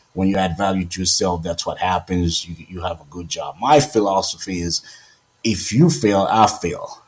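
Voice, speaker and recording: A man with a very deep, low pitch and a somewhat breathy voice speaks at a moderate pace, his loudness swinging widely and his pitch varying in an ordinary way. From Haiti. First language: Haitian Creole or French. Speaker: radio host. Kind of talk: radio talk show advice.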